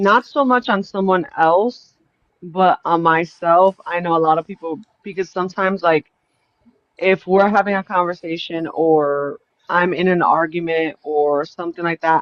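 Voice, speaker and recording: A woman's fairly low voice at a moderate pace. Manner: monotone, little expression.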